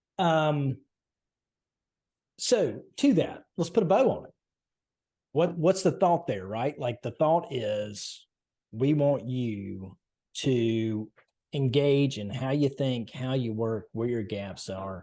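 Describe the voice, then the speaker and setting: At a very slow pace, a man with a Southern US accent speaks in a medium pitch, his tone dark and mellow. His intonation is lively, broken by long, frequent pauses. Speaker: podcast host. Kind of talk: casual chat. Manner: halting.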